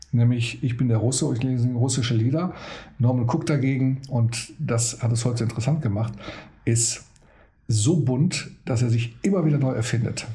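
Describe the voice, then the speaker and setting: A man's somewhat breathy, dark and mellow voice at medium pitch, with ordinary pitch variation and audible room echo. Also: moderate pace. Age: 50s. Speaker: DJ and podcast host. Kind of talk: casual chat. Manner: animated.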